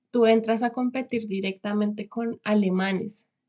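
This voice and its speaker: This woman has an unremarkable speaking voice, pitched fairly high. She talks at a fairly slow pace with fairly even intonation. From Colombia, Bogotá. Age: 20s. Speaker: vocational trainee, former lawyer. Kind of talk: interview.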